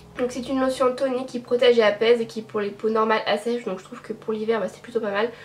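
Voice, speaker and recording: Over noticeable background noise, the speaker rushes along very fast with hardly any pauses, loudness swinging widely while the intonation stays fairly even. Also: woman, fairly high pitch for a woman. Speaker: beauty vlogger. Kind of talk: casual chat. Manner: hesitant, many fillers.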